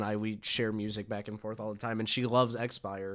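With a normal speaking voice, a man talks at a moderate pace and medium pitch with fairly even intonation, in a very clean recording with a silent background. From Atlanta, US South. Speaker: podcast host, hardcore music fan. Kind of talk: casual chat. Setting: home room with mics.

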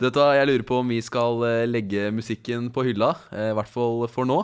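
Here is an unremarkable speaking voice from a man at medium pitch. He talks at a moderate pace. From eastern Norway (Follo, Krokstad). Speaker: radio host. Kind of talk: casual radio chat.

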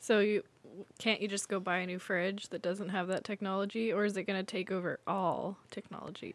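A woman speaks with an American accent at medium pitch. Her intonation stays monotone and flat. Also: fairly quick pace. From Eastern Washington, US. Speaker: guest co-host. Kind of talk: casual chat.

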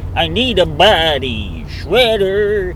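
Someone performs a put-on character voice over clear background noise. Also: man. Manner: menacing, gravelly villain.

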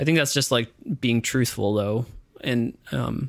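A man with a medium pitch talks at a fairly quick pace in a normal speaking voice. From Ottawa, Canada. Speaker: musician, singer-songwriter. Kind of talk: casual interview chat. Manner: casual, hedging, many filler words.

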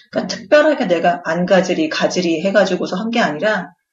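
Here is a woman in a normal speaking voice at medium pitch. Her intonation is lively. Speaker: podcast co-host, expectant mother. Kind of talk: casual chat.

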